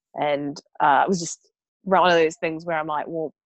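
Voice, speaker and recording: A woman with a New Zealand accent speaks at a moderate pace in a fairly low pitch. The sound is dry and close, with no echo. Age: 30s. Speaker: blogger and investment advisor. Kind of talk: casual chat.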